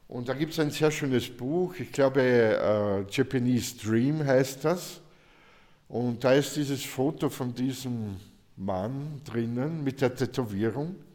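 A man with a medium pitch and ordinary pitch variation speaks at a very slow pace. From Austria, southern Burgenland. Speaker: painter. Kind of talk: interview. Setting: artist's studio.

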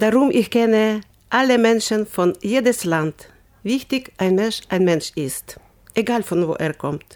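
A woman's fairly high voice at a very slow pace, with lively intonation. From Ukraine. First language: Ukrainian or Russian (speaking German). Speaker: volunteer. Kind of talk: interview. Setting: studio. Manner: animated.

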